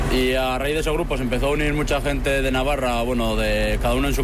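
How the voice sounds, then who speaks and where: Through noticeable background noise and audible room echo, a man speaks at a fairly quick pace. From Navarre, Spain (Astrain). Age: 20s. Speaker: farmer. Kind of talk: live street interview.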